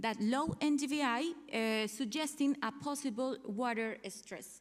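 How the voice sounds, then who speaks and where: On a very clean recording with a silent background, a high-pitched woman with a Spanish accent speaks at a fairly slow pace with ordinary pitch variation. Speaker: researcher. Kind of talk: conference talk. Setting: conference hall. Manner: halting.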